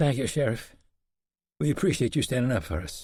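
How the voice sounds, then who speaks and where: In a put-on character voice, a man sounds raspy at a medium pitch, with very wide pitch swings. His pace is fairly quick, and the recording is very clean with a silent background. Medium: read story.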